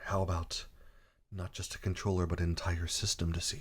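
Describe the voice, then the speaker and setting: Soft-spoken, a man talks at a moderate pace. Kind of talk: ASMR controller sound demo.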